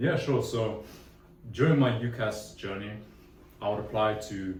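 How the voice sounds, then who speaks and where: A man with a London accent, fairly low pitch and ordinary pitch variation, in audible room echo. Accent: decent London. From London, England. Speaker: engineering student. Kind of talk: casual interview. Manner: casual, with many fillers.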